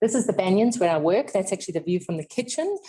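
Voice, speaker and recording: A woman with a South African accent speaks at a medium pitch in a somewhat breathy voice. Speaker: clinical nutritionist. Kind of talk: lecture. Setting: seminar room with audience and webinar.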